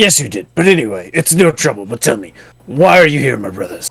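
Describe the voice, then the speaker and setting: A man's put-on character voice at medium pitch, with very wide pitch swings and a fairly quick pace. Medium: game stream. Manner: unctuous, formal clergy speech.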